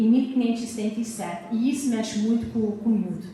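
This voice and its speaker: Speaking with a European Portuguese accent, a woman is heard over noticeable background noise with audible room echo. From US, Massachusetts (Azorean parents). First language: English (speaking Portuguese). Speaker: art historian and author. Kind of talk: lecture. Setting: lecture hall with audience. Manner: hesitant, frequent fillers.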